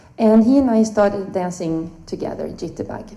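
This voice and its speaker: There is audible room echo around this woman's voice. She speaks with a Swedish accent and ordinary pitch variation. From Sweden. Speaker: swing dancer, panelist. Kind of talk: panel talk, personal storytelling.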